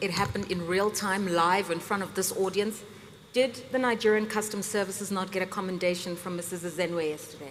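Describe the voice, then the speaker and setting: Fairly quick, fairly even speech from a woman at medium pitch, with audible room echo. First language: not English. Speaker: panel moderator. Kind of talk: panel discussion. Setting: stage with audience.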